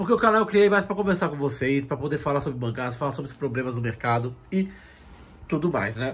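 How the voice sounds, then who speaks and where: Speaking at a fairly quick pace, a man makes very wide pitch swings. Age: 30s. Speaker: manga YouTuber. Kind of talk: personal vlog. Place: home room. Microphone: phone near.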